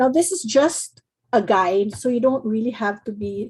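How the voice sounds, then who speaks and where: Her voice is fairly high, somewhat breathy, with a dark, mellow tone. The woman shows ordinary pitch variation. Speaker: card-making design team member demonstrating. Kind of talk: craft tutorial demo.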